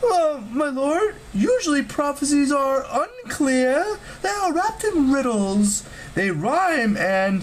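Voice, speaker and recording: A high-pitched, put-on character voice at a fairly slow pace, with very wide pitch swings and clear background noise. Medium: read story.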